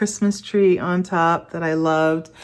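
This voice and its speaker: The speaker is a woman with a very deep, low pitch. She talks at a fairly slow pace. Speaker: lifestyle vlogger. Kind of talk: casual vlog talk to camera.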